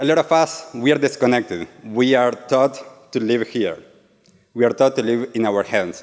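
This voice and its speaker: The speaker has an Argentine accent, a moderate pace and ordinary pitch variation. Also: man, medium pitch for a man. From Argentina. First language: Spanish. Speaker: yoga and meditation teacher. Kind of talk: talk to a live audience. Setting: stage with audience.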